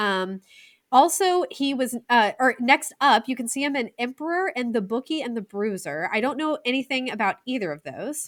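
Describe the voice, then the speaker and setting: A normal speaking voice with an American accent moves at a moderate pace with lively intonation. The recording is very clean, with a silent background and a dry, close sound with no echo. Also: woman. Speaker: film podcast co-host. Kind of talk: casual film review chat.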